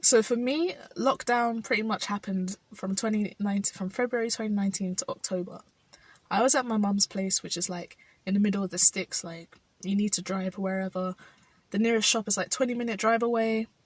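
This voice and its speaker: In a London accent, a woman talks at a fairly quick pace, somewhat breathy, with fairly even intonation and a dry, close sound with no echo. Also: medium pitch for a woman. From South London, England. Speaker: vlogger. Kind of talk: personal vlog reflection. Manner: halting.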